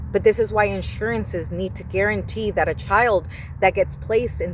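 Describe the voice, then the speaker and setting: A woman's animated tone at a moderate pace, with noticeable background noise. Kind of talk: personal monologue vlog.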